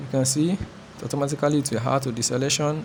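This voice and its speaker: A man speaks at a fairly high pitch with fairly even intonation. Noticeable background noise runs under his voice. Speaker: photographer teaching photo editing. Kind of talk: tutorial. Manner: fast; halting.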